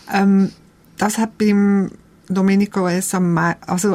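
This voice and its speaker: The recording is very clean, with a silent background. A woman with a Swiss accent speaks at medium pitch in a monotone, flat intonation. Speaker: documentary filmmaker. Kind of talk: conversational interview. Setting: radio studio.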